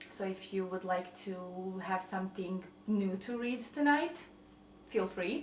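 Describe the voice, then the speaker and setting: Over noticeable background noise, a woman with a slight Croatian accent speaks at a fairly slow pace with ordinary pitch variation. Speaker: lifestyle vlogger. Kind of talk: casual cooking vlog.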